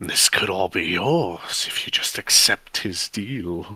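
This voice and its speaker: A man whispers in a put-on character voice with a sinister tone. His pace is fairly slow. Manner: tempting, sinister.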